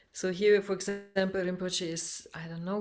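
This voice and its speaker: A woman with a non-native accent, fairly low in pitch, in a monotone, flat delivery. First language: not English. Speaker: meditative dance instructor. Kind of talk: webinar slide presentation. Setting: video call. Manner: halting, many fillers and restarts.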